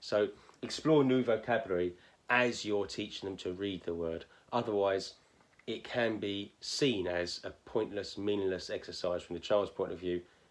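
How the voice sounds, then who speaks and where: A man with a southern English accent, fairly low-pitched, with ordinary pitch variation at a moderate pace. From southern England. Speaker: phonics teacher. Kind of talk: tutorial. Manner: hesitant, many fillers.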